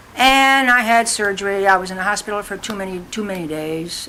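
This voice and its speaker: A woman speaks with an American accent at a moderate pace. Her medium pitch moves with ordinary variation. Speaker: family elder interviewee. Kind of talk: oral history interview.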